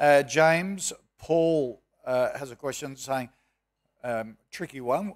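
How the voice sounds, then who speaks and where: Against a quiet background, a man speaks at fairly high pitch with lively intonation. His pace is very slow. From Australia. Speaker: moderator and businessman; moderator. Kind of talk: panel moderation. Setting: stage with audience. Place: hall.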